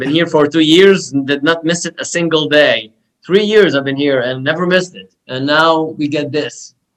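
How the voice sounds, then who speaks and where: A man with a Lebanese accent, fairly high in pitch, at a moderate pace with ordinary pitch variation. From Lebanon (Beirut). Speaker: podcast guest sharing life story. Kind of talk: casual interview chat.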